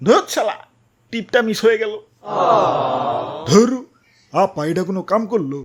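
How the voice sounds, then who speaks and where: This is a cartoonish character voice with a fairly high pitch. It moves at a moderate pace. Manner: agitated, shooing, colloquial.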